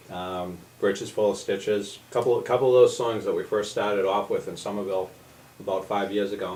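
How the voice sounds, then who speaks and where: A man with a Boston accent talks at a fairly quick pace. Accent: Boston area. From Massachusetts, Billerica. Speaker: folk musician. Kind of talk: radio interview. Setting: radio studio.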